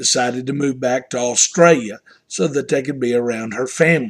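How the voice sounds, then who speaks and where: In a strong Southern US accent, a man talks at a moderate pace with ordinary pitch variation. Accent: Southern US, strong twang. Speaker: pastor. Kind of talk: devotional talk.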